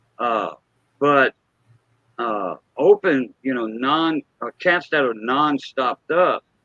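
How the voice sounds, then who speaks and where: A man is speaking. His intonation is lively. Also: dry, close sound with no echo. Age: 50s. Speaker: car enthusiast. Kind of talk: casual chat. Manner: halting.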